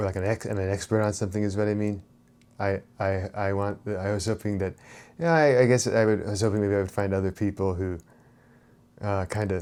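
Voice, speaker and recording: Fairly low pitch from a man at a fairly quick pace, with fairly even intonation, in a very clean recording with a silent background. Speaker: spirituality and self-help channel host. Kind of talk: unscripted monologue. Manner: fast; halting, many fillers and repetitions.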